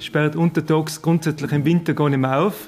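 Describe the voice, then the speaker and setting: Over music in the background, a man speaks at a fairly quick pace with a fairly high pitch and fairly even intonation. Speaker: village head. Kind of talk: interview.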